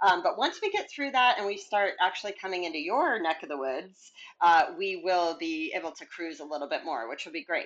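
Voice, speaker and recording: An unremarkable speaking voice moves at a fairly quick pace with hardly any pauses. Its intonation is lively. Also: woman, fairly low pitch for a woman. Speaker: hiking author. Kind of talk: casual interview.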